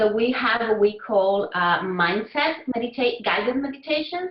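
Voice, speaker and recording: Someone with a non-native accent speaks at a moderate pace with very wide pitch swings over noticeable background noise. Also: woman. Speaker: Spanish teacher and language app creator. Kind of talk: interview.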